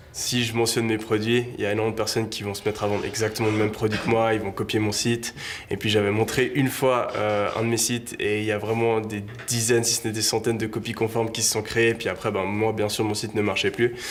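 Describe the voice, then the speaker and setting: A man speaks at a very fast pace in a medium pitch, his intonation flat and monotone. Noticeable background noise runs underneath. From Switzerland, Lausanne (Vaud). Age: 20s. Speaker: e-commerce entrepreneur. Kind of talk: interview. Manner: casual, hesitant with fillers.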